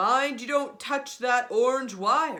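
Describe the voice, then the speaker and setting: A put-on character voice at a fairly slow pace. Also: woman. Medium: read story.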